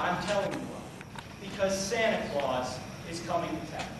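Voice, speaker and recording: A man is speaking. Noticeable background noise and strong room echo surround his voice. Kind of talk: comedic stage monologue. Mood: mock-serious humor. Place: hall. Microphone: camera far.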